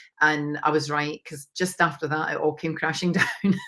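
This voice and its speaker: On a very clean recording with a silent background, a woman with a Scottish accent speaks in a very deep, low pitch, her tone bright and sharp and her intonation monotone and flat. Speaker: mindset coach. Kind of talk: interview testimony.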